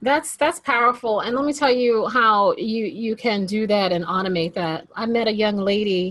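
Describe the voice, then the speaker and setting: With a plain, everyday voice, a woman speaks at a moderate pace with hardly any pauses, her pitch fairly high and her pitch variation ordinary. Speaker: podcast host. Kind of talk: casual interview chat.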